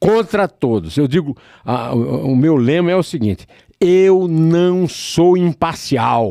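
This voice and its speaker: Recorded with a dry, close sound and no echo, a man speaks slowly in a dark, mellow tone with very wide pitch swings. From Brazil, Northeast (Paraíba). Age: 70s. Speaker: journalist and poet. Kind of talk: interview. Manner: halting, many fillers.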